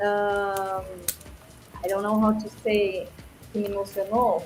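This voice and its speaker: A voice with a Portuguese accent and audible room echo. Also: woman. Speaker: music track judge. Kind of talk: panel critique. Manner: halting.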